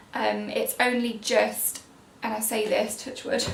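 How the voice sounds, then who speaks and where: A quiet woman is heard through noticeable background noise and audible room echo. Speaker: parenting vlogger. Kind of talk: casual vlog update. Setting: at home, baby napping above. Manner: chatty.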